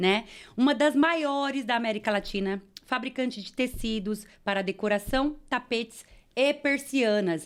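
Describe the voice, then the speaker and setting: At a fairly slow pace, a woman with a high voice and ordinary pitch variation is heard on a very clean recording with a silent background. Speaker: podcast host. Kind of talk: interview.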